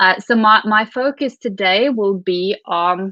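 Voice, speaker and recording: A woman with a Norwegian accent and fairly even intonation. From Norway. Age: 30s. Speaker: venture capital investor. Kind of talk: keynote talk. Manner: halting, many repeats.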